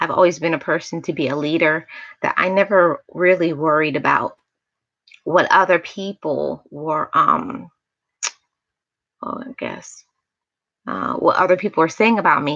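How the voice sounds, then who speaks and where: A soft-spoken woman with an American accent, fairly low pitch, ordinary pitch variation, a moderate pace and long, frequent pauses. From New York, Jamaican family. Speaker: motivational YouTuber. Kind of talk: livestream chat, personal testimony. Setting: livestream.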